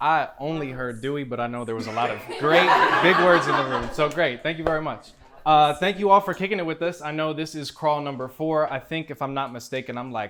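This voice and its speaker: With an American accent, a man of fairly high pitch talks at a fairly quick pace with ordinary pitch variation over noticeable background noise. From Cleveland, Ohio. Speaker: spoken word poet. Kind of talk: casual talk to audience. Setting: live venue.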